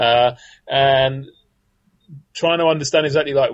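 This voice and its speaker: A man with a British accent speaks at medium pitch with ordinary pitch variation. His voice is somewhat breathy. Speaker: politics professor. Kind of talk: casual expert analysis. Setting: remote call. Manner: dry, wry humor.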